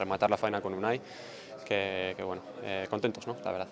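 The man's intonation is monotone and flat. Noticeable background noise runs under his voice. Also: fairly low pitch for a man, dry sound with no echo. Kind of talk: interview answer. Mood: pleased after a win. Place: hall. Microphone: podium.

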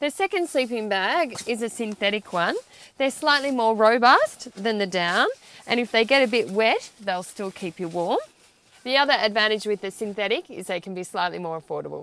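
At a moderate pace, a woman speaks with lively intonation in a dry, echo-free sound. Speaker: presenter. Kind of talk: tutorial. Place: tent.

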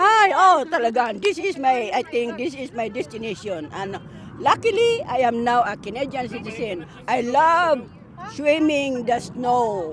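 With noticeable background noise, a woman talks at a high pitch with very wide pitch swings. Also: fairly slow pace. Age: 70s. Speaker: community volunteer dancer. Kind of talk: casual interview. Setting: outdoors.

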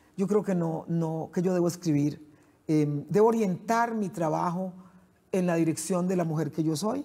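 Her tone is dark, mellow and somewhat breathy. This woman speaks with lively intonation. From Costa Rica, San José (Central Valley); Costa Rica. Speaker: poet and writer; poet. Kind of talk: interview. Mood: warm, reflective. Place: studio. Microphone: lapel.

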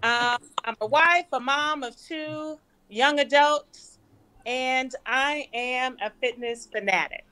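In a raised, projected voice with a bright, sharp tone, a woman with an American accent talks at a very slow pace, high in pitch with ordinary pitch variation. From California. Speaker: physician; panelist. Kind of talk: panel discussion. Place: home room. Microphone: webcam.

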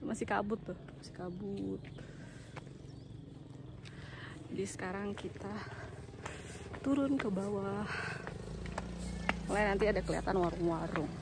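Ordinary pitch variation at a moderate pace, with long, frequent pauses, a dry sound with no echo, and loud background noise. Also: woman. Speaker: travel vlogger. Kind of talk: casual vlog chat. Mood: cheerful, laughing. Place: street. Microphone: phone near.

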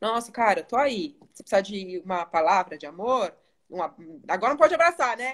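Against a quiet background, a woman talks at a fairly quick pace, her pitch swinging very widely and her loudness rising and falling sharply. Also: fairly high pitch for a woman. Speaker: educational psychologist and live host; live host. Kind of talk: live stream conversation. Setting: live video stream. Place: home room. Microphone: phone near.

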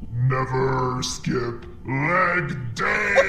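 A man at medium pitch uses a put-on character voice, with clear background noise behind him. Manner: gruff, gym-bro taunting.

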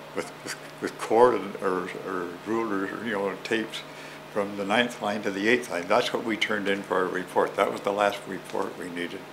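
Fairly low pitch and fairly even intonation from a man with a Canadian accent, at a moderate pace over noticeable background noise. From Ontario, Canada (Oakville); Ontario, Canada. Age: 90s. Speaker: elder recalling childhood; interviewee. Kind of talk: oral history interview. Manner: halting, many repetitions. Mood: warm, smiling. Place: home room.

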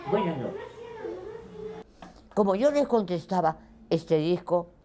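Pitch leaps through very wide swings while noticeable background noise carries on behind. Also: woman. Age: 90s. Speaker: radio broadcaster. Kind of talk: interview; radio broadcast.

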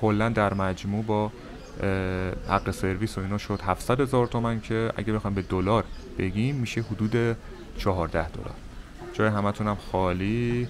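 Over noticeable background noise, a man with a fairly low pitch and fairly even intonation speaks at a moderate pace with long, frequent pauses. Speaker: travel vlogger. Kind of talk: casual vlog chat. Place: cafe. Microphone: phone near.

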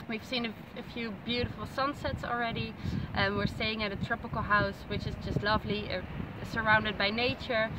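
Against loud background noise, a woman with a fairly high pitch talks at a moderate pace in a dry sound with no echo. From Netherlands. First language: Dutch. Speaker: tourist on vacation. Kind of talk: casual travel vlog commentary. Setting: outdoors at night. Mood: warm, grateful, friendly. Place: beach. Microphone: phone near.

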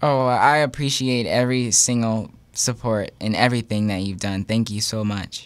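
A man with an American accent speaks at a medium pitch, in an ordinary speaking voice, at a moderate pace with fairly even intonation. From Texas, Houston. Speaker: singer; guest. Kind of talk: interview. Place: studio. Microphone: studio mic.

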